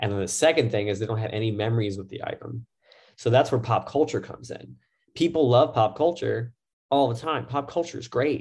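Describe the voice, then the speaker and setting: A somewhat breathy, medium-pitched male voice at a fairly quick pace, with ordinary pitch variation and big swings in loudness. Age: 30s. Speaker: tattoo artist. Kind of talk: casual chat.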